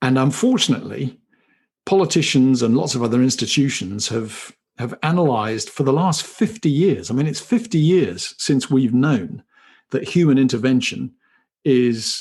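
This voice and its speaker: Over a quiet background, a man with a British accent speaks at a moderate pace in a medium pitch with lively intonation. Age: 60s. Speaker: company chief executive. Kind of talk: interview. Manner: hesitant, repeats words.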